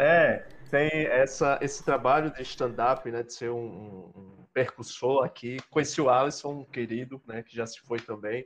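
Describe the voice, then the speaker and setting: A man's ordinary speaking voice at medium pitch, fairly slow and with hardly any pauses, with ordinary pitch variation and big swings in loudness. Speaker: student interviewer.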